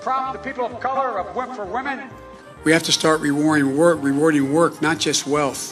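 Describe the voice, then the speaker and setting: A man's high-pitched voice with very wide pitch swings at a fairly quick pace, music in the background. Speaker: politician. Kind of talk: political speech. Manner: mumbling, halting.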